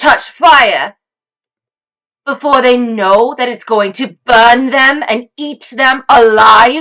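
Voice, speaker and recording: A female-sounding, high-pitched put-on character voice. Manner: eerie, ominous, warning.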